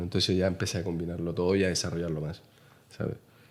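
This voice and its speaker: In a Chilean accent, a man talks with a very deep, low pitch. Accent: Chilean, noticeable. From Chile, Santiago. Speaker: painter. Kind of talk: interview conversation. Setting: artist's studio. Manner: halting, many fillers.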